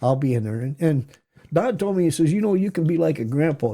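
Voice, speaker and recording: This man speaks with an American accent. His voice is fairly high in pitch, with a dark, mellow tone. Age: 70s. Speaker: retired wrestling coach and teacher. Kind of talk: casual interview. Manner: halting, repetitive.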